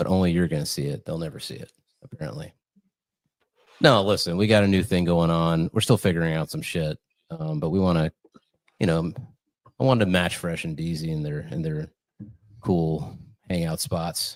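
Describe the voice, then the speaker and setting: A soft-spoken man with a very deep, low pitch and ordinary pitch variation, at a fairly quick pace broken by long, frequent pauses. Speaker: podcast host. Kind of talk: casual chat. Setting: studio. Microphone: slight room echo.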